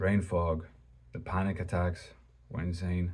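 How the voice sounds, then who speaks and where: Somewhat breathy, a man with a very deep, low pitch carries a dark, mellow tone. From Greece. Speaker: religious video creator. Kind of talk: personal testimony. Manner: halting; casual.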